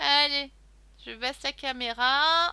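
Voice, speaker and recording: A voice with a bright, sharp tone and very wide swings in pitch. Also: woman. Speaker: crafting YouTuber. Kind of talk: unboxing haul video. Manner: casual, chatty with fillers; loud.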